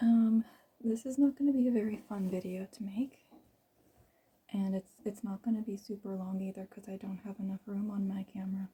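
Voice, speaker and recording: A woman speaks at a fairly quick pace and a medium pitch. Her tone is dark, mellow and somewhat breathy, with fairly even intonation. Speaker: vlogger. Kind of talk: personal testimony. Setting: recording alone on camera. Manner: soft-spoken; unscripted, hesitant.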